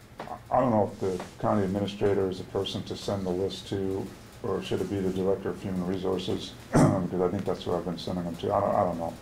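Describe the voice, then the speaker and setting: Talking very fast with an American accent, a man with a very deep, low pitch keeps a monotone, flat intonation amid noticeable background noise and audible room echo. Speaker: union negotiator. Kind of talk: contract negotiation meeting. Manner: halting.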